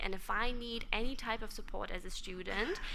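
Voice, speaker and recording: A woman speaks in a German accent with lively intonation at a moderate pace. The recording has audible room echo and noticeable background noise. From Germany. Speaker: conference speaker. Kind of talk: conference presentation.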